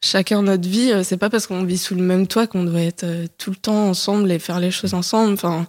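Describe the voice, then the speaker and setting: An ordinary speaking voice at a moderate pace, fairly even in intonation, on a very clean recording with a silent background. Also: woman. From Paris, France. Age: 20s. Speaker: podcast guest. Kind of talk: casual chat.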